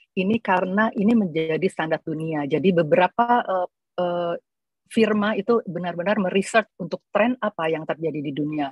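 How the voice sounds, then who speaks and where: Heard against a quiet background with dry sound and no echo, a woman has an unremarkable speaking voice, medium in pitch with ordinary pitch variation. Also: moderate pace. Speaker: entrepreneur; presenter. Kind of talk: panel presentation. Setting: video call. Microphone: video call.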